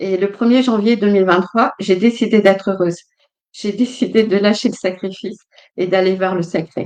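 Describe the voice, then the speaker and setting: A woman with an unremarkable speaking voice talks at a moderate pace, her medium pitch carried on fairly even intonation. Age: 60s. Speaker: guest speaker on family healing. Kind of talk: casual interview chat. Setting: livestream.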